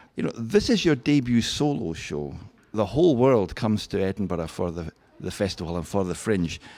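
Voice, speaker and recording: A man with a Scottish accent speaks at a moderate pace in a dark, mellow tone, his fairly low pitch moving with lively intonation. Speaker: radio host. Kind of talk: interview.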